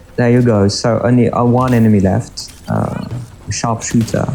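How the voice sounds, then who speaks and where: Amid noticeable background noise, a man speaks with a French accent. His pitch is medium, his intonation fairly even and his pace fairly slow. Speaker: gaming YouTuber. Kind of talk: live gameplay commentary. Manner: halting, many fillers.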